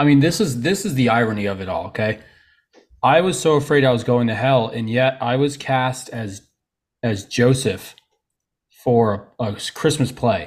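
A man with an unremarkable speaking voice talks at a moderate pace and medium pitch with ordinary pitch variation. The recording is very clean, with a silent background. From Florida (Tarpon Springs area), born in Trenton, New Jersey. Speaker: men's coach and summit organizer. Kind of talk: interview, personal testimony.

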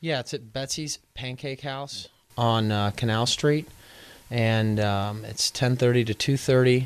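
Against a quiet background, a man with a plain, everyday voice talks at a fairly slow pace, medium pitch and fairly even intonation. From Texas, Houston. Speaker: pro football punter. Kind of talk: studio interview. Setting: studio.

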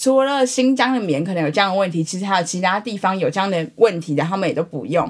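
Speech rushes along at a very fast pace with lively intonation and hardly any pauses. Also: woman, medium pitch for a woman. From Taiwan. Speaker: podcast co-host. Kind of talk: casual chat.

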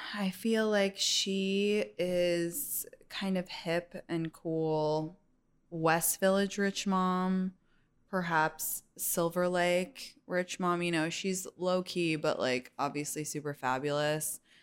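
A woman's fairly low voice moves very slowly, rising and falling in an ordinary way. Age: 30s. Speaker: content creator and comedian. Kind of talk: casual chat.

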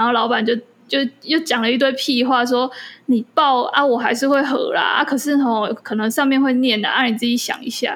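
The speaker has an animated tone and a fairly quick pace. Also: woman, high pitch for a woman. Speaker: podcast co-host. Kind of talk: casual chat. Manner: animated, frequent laughter.

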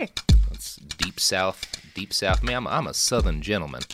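A man's raspy put-on character voice at a very deep, low pitch and moderate pace, with music in the background. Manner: exaggerated, gentlemanly.

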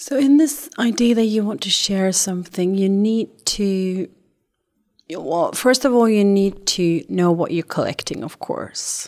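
A woman with an unremarkable speaking voice and medium pitch speaks at a fairly slow pace with lively intonation. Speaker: podcast interviewer. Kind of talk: casual interview.

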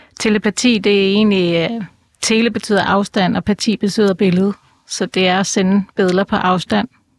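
A woman speaks in a monotone, flat intonation with very even loudness, the sound dry and close with no echo. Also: medium pitch for a woman, moderate pace. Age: 50s. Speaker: animal communicator and clairvoyant. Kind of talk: interview. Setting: studio.

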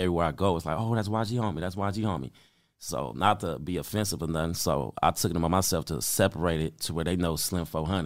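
Speaking at a very fast pace with vocal fry and ordinary pitch variation, the voice carries an American accent in a very clean recording with a silent background. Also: man. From Compton, Los Angeles, US. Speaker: rapper. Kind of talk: casual interview.

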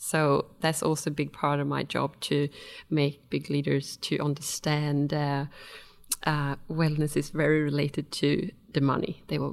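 A woman with a Swedish accent speaks at a very deep, low pitch with vocal fry. Her intonation is monotone and flat on a very clean recording with a silent background. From Sweden. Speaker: wellness consultant and personal trainer. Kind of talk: casual interview. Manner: hesitant, with many fillers.

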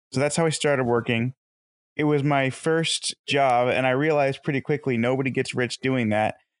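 Over a quiet background, a man with an unremarkable speaking voice talks at medium pitch and a fairly quick pace. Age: 20s. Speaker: real estate investor and insurance salesman. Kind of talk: interview.

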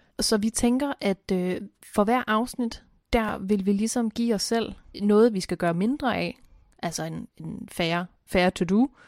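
A woman in a normal speaking voice, medium pitch and ordinary pitch variation, at a fairly slow pace, with a dry, close sound with no echo and a very clean recording with a silent background. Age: late 20s to 30s. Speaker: podcast co-host. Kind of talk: casual chat.

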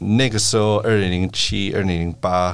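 A man with an ordinary speaking voice, fairly low in pitch, with fairly even intonation. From United States. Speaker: venture capital partner. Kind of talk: interview.

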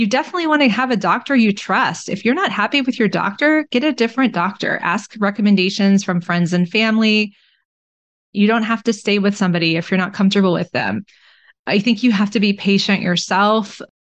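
A woman with an American accent has an ordinary speaking voice at a medium pitch, with ordinary pitch variation, very even loudness and a fairly quick pace, over a quiet background. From Texas (Austin). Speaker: family physician and author. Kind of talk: interview.

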